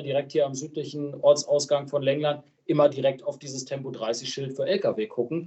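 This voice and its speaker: This man's voice is fairly high and somewhat breathy, moving at a moderate pace with fairly even intonation. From Lower Saxony, Germany. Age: 20s. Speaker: local politician. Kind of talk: casual interview.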